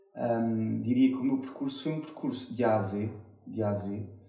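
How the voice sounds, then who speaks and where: Audible room echo surrounds a man speaking at medium pitch. His pace is fairly slow and his intonation fairly even. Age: 30s. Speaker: IT business unit director. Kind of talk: interview. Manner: halting, repeated words.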